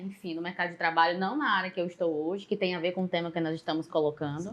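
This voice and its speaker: This woman talks with a northeastern Brazilian accent. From Northeast Brazil, Maranhão. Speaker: psychologist and public manager. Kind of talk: podcast interview.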